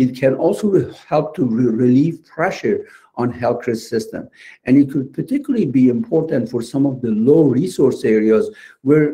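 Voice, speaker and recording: Somewhat breathy and dark, mellow in tone, a man's fairly high voice moves at a moderate pace with lively intonation. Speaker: lab medicine panelist. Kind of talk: lecture. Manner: halting.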